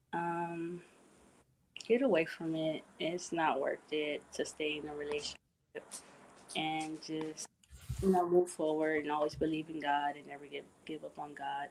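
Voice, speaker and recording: A woman with a very deep, low voice speaks in a flat monotone at a fairly slow pace. Her loudness swings widely, and she leaves long, frequent pauses. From Southern California. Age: 20s. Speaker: domestic violence survivor. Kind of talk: interview. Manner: soft-spoken.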